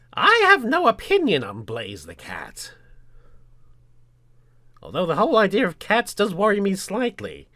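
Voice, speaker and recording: A man's put-on character voice, raised and projected, with big swings in loudness, a moderate pace and long, frequent pauses. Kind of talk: casual podcast talk. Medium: role play.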